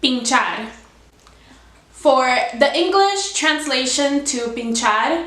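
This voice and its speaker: A woman with a Spanish accent speaks at a very slow pace and high pitch, with audible room echo and noticeable background noise. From Cuba, raised in US from about age seven. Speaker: YouTuber. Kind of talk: casual explainer vlog.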